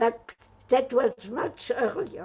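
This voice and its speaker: Her voice is high-pitched, a woman speaking with a French accent. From France. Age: 80s+. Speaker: Holocaust survivor. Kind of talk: testimony.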